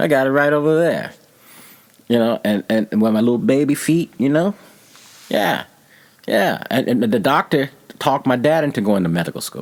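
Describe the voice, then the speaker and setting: Speaking at a moderate pace with lively intonation, a man with a medium-pitched voice leaves long, frequent pauses. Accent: American. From Texas. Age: 60s. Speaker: painter. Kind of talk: interview.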